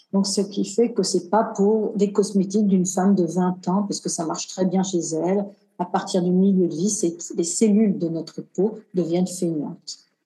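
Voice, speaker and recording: A woman speaks at a moderate pace with a medium pitch and a somewhat breathy voice. Her intonation stays fairly even. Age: 50s. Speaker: cosmetic engineer and skincare brand founder. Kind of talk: casual interview.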